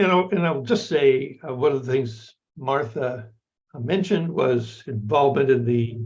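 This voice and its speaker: Somewhat breathy and at a medium pitch, a man's voice carries audible room echo. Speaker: anthropologist. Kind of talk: lecture. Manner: slow; halting.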